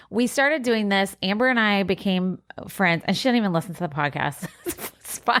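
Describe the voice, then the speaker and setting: The speech is loud and comes at a fairly quick pace. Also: woman, medium pitch for a woman, lively intonation. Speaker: podcast co-host. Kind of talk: casual chat.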